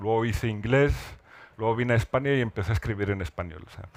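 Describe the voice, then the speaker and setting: Speaking at a very fast pace, a man with a medium pitch and ordinary pitch variation is heard on a very clean recording with a silent background. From northern Morocco (Rif, Alhucemas). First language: Amazigh (speaking Spanish). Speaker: writer. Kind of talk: literary panel discussion. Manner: halting, many repetitions.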